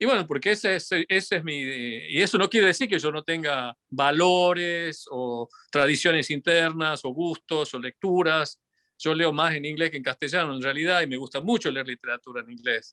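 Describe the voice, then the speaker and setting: This voice has a bright, sharp tone and a slight Tucumán accent, moving at a moderate pace with ordinary pitch variation. The recording is very clean with a silent background, and the sound is dry and close with no echo. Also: man, fairly high pitch for a man. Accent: Tucumán Argentine Spanish, some. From Argentina, Tucumán. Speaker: physicist and folk musician. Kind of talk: interview. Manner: halting, many fillers.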